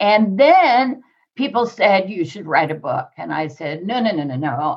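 Her medium-pitched voice, a woman's, moves through very wide pitch swings. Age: 70s. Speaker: money mindset coach and author. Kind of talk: interview conversation.

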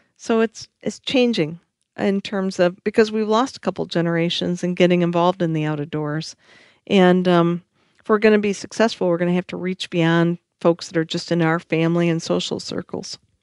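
A woman with an American accent talks in an ordinary speaking voice, fairly low in pitch with ordinary pitch variation, at a moderate pace. The sound is dry and close with no echo, over a quiet background. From Michigan, US Midwest. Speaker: conservation organization CEO. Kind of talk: interview conversation.

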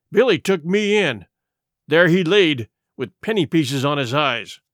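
A man does a growling, raspy put-on character voice at a fairly high pitch and a moderate pace. The recording is very clean with a silent background. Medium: read story. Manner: growling, gloomy.

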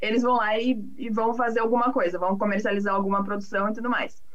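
Through audible room echo and noticeable background noise, a woman talks with ordinary pitch variation. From Brazil, São Paulo city. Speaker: agricultural market analyst. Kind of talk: casual interview.

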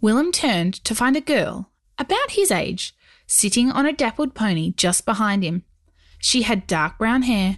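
Lively intonation runs through this clip. The reading voice is natural.

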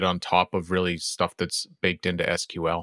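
Over a very clean recording with a silent background, a man speaks at a moderate pace in a bright, sharp tone, the sound dry and close with no echo. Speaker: programmer and podcast co-host. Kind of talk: casual technical discussion.

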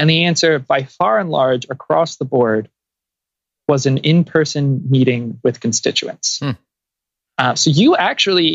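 Lively intonation runs through a man's moderately paced speech. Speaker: climate policy advocate. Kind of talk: interview.

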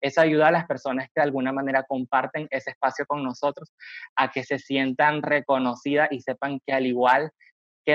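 A man speaks at a moderate pace in a monotone, flat intonation, his pitch fairly high. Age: 20s. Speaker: graphic design student and digital evangelist. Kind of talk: interview conversation.

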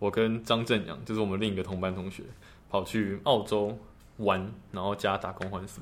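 Speaking at a moderate pace, a man with a fairly low voice keeps a monotone, flat intonation while his loudness swings widely. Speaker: medical student. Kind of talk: casual chat.

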